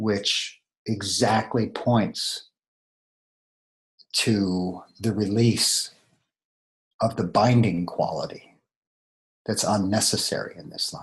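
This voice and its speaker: A man speaks very slowly, with long, frequent pauses and fairly even intonation. His voice is somewhat breathy, and its loudness swings widely. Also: fairly low pitch for a man. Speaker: meditation teacher. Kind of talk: dharma talk. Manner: pausing often.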